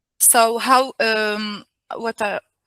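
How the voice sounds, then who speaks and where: A woman with a non-native accent and a bright, sharp tone is heard in a dry, close sound with no echo. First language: not English. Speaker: invited speaker on workplace equality. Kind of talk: webinar presentation. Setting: video call webinar. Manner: halting, many fillers and restarts.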